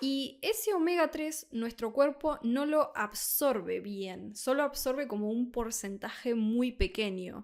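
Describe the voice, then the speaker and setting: Very slow speech from a woman with a high pitch and lively intonation, on a very clean recording with a silent background. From Argentina, Buenos Aires. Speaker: Spanish tutor. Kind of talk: tutorial.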